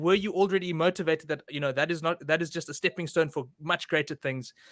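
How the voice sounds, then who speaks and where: A man's fairly high voice at a very fast pace, fairly even in intonation, dry and close with no echo on a very clean recording with a silent background. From Durban, South Africa. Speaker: podcast host. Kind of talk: podcast interview. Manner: halting.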